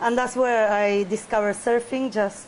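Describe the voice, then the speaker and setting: Over noticeable background noise, a woman talks at a moderate pace with a Spanish accent. Her pitch is medium and her intonation fairly even. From Buenos Aires, Argentina. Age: 30s. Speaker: big-wave surfer. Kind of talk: interview. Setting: outdoors by the beach.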